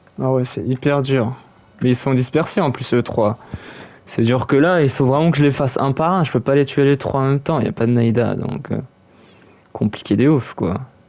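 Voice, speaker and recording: Moderately paced speech with long, frequent pauses and ordinary pitch variation over noticeable background noise. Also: man, medium pitch for a man. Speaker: gaming YouTuber. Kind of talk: gameplay commentary. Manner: halting.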